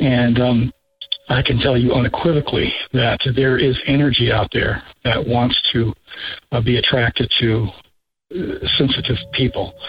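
A man talks at a fairly slow pace with little pitch movement and a slightly husky edge. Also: medium pitch for a man.

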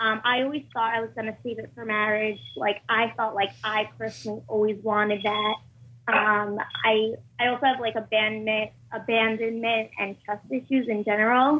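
At a moderate pace, a woman talks in an ordinary speaking voice, fairly high in pitch with fairly even intonation. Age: 20s. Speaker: caller. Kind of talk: call-in question.

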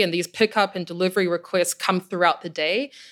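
Captured in a very clean recording with a silent background, a woman speaks at a fairly low pitch in a monotone, flat intonation. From New Zealand. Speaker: head of innovation at a logistics company. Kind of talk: interview.

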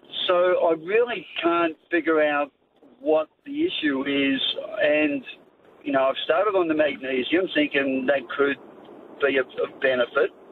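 The speaker has an Australian accent and a fairly slow pace. Loudness stays very even, with ordinary pitch variation. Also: man, fairly high pitch for a man. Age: 60s. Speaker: radio caller. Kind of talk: phone-in question.

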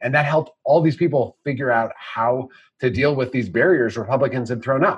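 Somewhat breathy and fairly quick, this man talks at a medium pitch with ordinary pitch variation. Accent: American. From Wisconsin. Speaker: state party chair. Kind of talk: interview.

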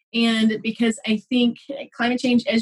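A woman talks with a Texan accent at a moderate pace. Her pitch sits fairly high. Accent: Texan American. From Texas. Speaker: biologist and educator. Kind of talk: casual interview. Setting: video call.

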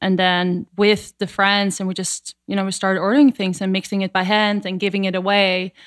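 This woman talks at a fairly quick pace in a monotone, flat intonation, with a medium pitch and a Dutch accent. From Netherlands. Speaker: superfood company co-founder. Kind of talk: interview.

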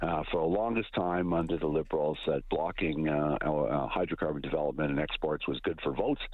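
A man with a Canadian accent, very deep, low pitch, very even loudness and moderate pace, over noticeable background noise. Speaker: energy policy analyst. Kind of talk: radio interview.

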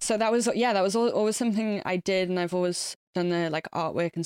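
A woman with an English accent, fairly even intonation, and a dry, close sound with no echo over a silent background in a very clean recording. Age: 30s. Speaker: musician. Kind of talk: casual chat.

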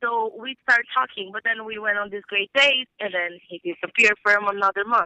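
A woman with a Brazilian accent and a medium pitch speaks at a moderate pace with hardly any pauses, ordinary pitch variation, and big swings in loudness. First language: Portuguese. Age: 20s. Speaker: caller. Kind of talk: casual chat.

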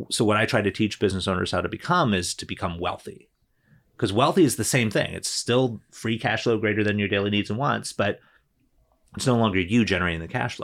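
In a very clean recording with a silent background, a man with an unremarkable speaking voice talks at a fairly quick pace, his pitch fairly low and ordinary in its variation. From New Jersey. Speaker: attorney and business coach. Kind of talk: casual interview chat.

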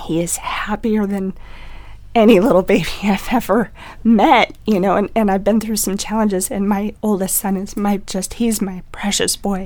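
Her voice is medium in pitch, and the woman keeps her intonation fairly even. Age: 30s. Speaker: stay-at-home mom sharing pregnancy loss story. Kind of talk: panel discussion, personal testimony. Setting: studio. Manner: halting.

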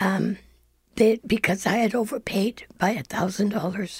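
Speaking at a fairly slow pace, a woman uses a somewhat breathy voice of medium pitch with ordinary pitch variation. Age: 70s. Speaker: senior citizen, listener. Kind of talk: interview. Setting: studio.

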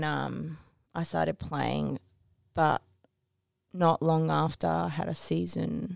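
A woman with a Japanese accent speaks at a fairly slow pace, with long, frequent pauses. The sound is dry and close, with no echo. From Tokyo, Japan. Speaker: guest telling her story, sportswoman.

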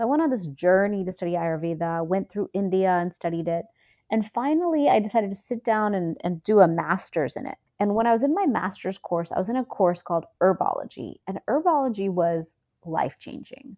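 Speaking at a fairly quick pace, a woman uses an ordinary speaking voice of medium pitch with lively intonation. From Houston, Texas, with Indian family. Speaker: Ayurvedic practitioner. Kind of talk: interview.

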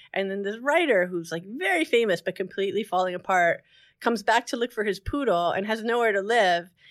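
A woman in an American accent, a plain, everyday voice, medium pitch, lively intonation and a fairly quick pace. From New Jersey. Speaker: novelist. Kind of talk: interview.

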